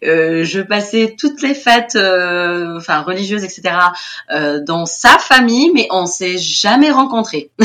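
A woman speaks at a very slow pace and a medium pitch. Her pitch swings very widely. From Tunisia, Tunis. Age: 30s. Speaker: teacher at a French school abroad. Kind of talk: interview testimony. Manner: animated.

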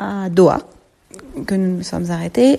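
A woman at a medium pitch. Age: 30s. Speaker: mother giving testimony. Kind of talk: recorded testimony. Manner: halting, many hesitations.

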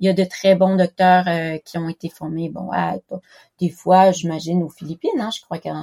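A woman speaks at a moderate pace in a fairly low pitch with a dark, mellow tone, her intonation monotone and flat but her loudness swinging a lot. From Quebec. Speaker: special education teacher. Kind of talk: interview testimony. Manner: halting, many hesitations.

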